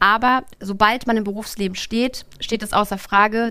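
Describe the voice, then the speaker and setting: Her medium-pitched delivery in a plain, everyday voice keeps a fairly even intonation as the woman speaks. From northern Germany, Lübeck. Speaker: bank branch manager. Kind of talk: live podcast interview. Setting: stage with live audience.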